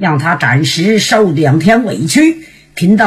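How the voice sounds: The intonation moves in a lively way. It comes from a natural reading voice.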